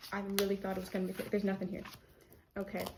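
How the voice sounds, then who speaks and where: A dark, mellow, somewhat breathy tone. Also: woman. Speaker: art youtuber. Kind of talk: casual vlog. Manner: stuttering.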